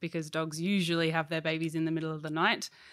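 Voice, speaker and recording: Fairly low-pitched woman's voice with an Australian accent. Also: very clean recording, silent background. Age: 20s. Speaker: puppy education supervisor. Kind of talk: interview. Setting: indoor hall at workplace.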